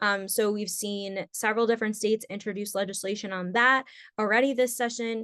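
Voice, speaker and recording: In a quiet setting, a woman speaks at a medium pitch with fairly even intonation. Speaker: policy expert panelist. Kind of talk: webinar presentation. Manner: fast.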